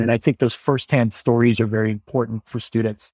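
With an American accent and a plain, everyday voice, a man speaks at a fairly quick pace in a medium pitch, on a very clean recording with a silent background and a dry, close sound with no echo. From central Illinois, US Midwest. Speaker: school administrator and education consultant. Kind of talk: podcast interview.

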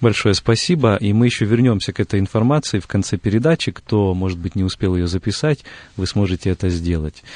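With an ordinary speaking voice, a man talks at a fairly low pitch and a fairly quick pace with ordinary pitch variation, his dry, close sound carrying no echo over a quiet background. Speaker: radio host. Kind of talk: studio interview. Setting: radio studio. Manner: formal, polite.

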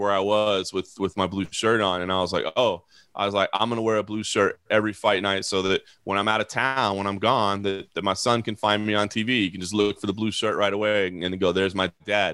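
A man with a fairly low pitch and a bright, sharp tone talks fairly quickly in a monotone, flat intonation, in a very clean, dry, close recording with no echo and a silent background. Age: 40s. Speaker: MMA journalist. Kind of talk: casual chat. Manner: casual, filler-heavy with repetitions.

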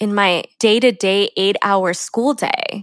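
The pitch lands in the medium range. It is a woman's voice. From San Diego, California. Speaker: podcast host, former teacher turned education consultant. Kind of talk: personal storytelling monologue. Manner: laughs often while talking.

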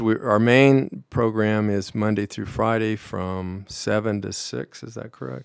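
At a fairly slow pace, this is a plain, everyday voice with an American accent and ordinary pitch variation. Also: man. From Colorado, Pueblo. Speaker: vice president of a community fitness nonprofit. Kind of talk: radio interview.

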